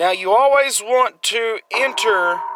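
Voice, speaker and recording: A man projects his raised voice through noticeable background noise. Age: 30s. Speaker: gaming youtuber. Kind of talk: gameplay commentary. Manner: casual, rambling.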